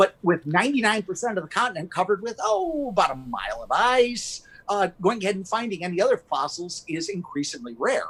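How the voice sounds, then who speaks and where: With hardly any pauses, a man with an American accent talks at a fairly quick pace in a high pitch with lively intonation, over noticeable background noise. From US Midwest (Michigan). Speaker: carnivorous plant gallery owner. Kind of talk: live stream interview. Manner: fast; energetic.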